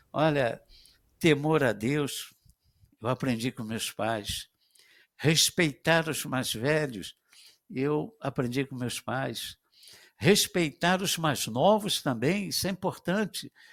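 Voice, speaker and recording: In a very clean recording with a silent background and a dry, close sound with no echo, a man speaks at a very slow pace with a fairly high pitch, lively intonation and long, frequent pauses. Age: 70s. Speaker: retired police officer, father of host. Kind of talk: casual chat. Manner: halting.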